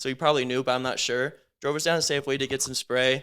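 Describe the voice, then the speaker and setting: A man with an American accent talks at a fairly quick clip in an animated, bright and sharp tone. His pitch is medium, and the recording is very clean with a silent background. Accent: Americanized. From United States, half Lebanese. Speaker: podcast host. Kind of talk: casual chat. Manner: animated, filler-heavy.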